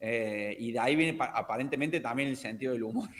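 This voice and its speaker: A man talks with lively intonation. He has an unremarkable speaking voice. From Argentina, Córdoba. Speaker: language teacher. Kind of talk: casual chat.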